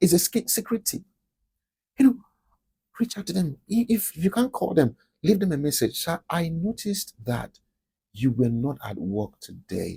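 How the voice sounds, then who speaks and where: Whispering at a moderate pace, a man leaves long, frequent pauses, recorded with a dry, close sound with no echo. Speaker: podcast host. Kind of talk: motivational talk. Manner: animated.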